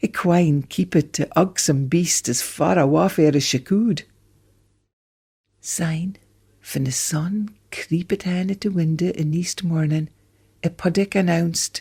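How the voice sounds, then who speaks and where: In a northeast Scottish accent, the voice is dark, mellow and somewhat breathy, moving at a fairly slow pace with ordinary pitch variation and long, frequent pauses. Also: woman, fairly low pitch for a woman. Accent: Doric Scots. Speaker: storyteller. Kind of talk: folk tale storytelling.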